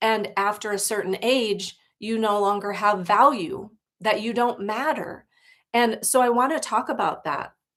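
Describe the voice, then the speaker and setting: The recording is very clean, with a silent background. A woman with an American accent and a normal speaking voice talks fairly slowly at a medium pitch. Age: 60s. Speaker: life coach. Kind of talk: livestream talk. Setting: livestream.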